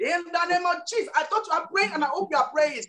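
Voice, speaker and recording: A woman's extremely high-pitched voice with lively intonation over light background noise. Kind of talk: fervent prayer. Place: home room. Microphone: video call.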